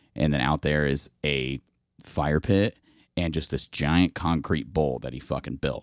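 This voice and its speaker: In a very clean recording with a silent background and a dry, close sound free of echo, a man with an American accent speaks fairly slowly at a very deep, low pitch, with vocal fry. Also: ordinary pitch variation. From Indianapolis west side, Indiana, US Midwest. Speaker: hardcore vocalist and skater. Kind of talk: casual chat.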